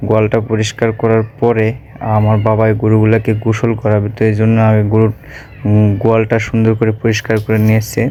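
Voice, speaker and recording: A man talks in a medium pitch with very even loudness and monotone, flat intonation. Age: 20s. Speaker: video blogger. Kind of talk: vlog voice-over narration.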